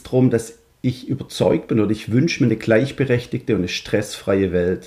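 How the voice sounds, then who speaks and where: The man's loudness rises and falls a great deal. He keeps up a fairly quick pace. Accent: Swabian. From Swabia, Stuttgart (Germany). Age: 40s. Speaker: fathers' coach and founder. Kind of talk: podcast interview.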